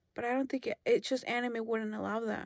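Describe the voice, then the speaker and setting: This woman has a Spanish accent and a fairly high pitch. She talks at a moderate pace. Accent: Spanish accent, self-noted. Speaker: podcast co-host. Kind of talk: casual chat.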